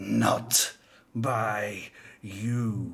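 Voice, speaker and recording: A man puts on a character voice, growling and hissing at a fairly low pitch. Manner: hissing, under breath.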